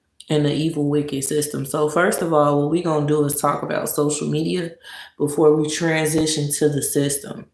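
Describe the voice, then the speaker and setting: At a moderate pace, a woman speaks in a very deep, low voice, with audible room echo. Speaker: live streamer. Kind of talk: casual live stream talk. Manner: sluggish.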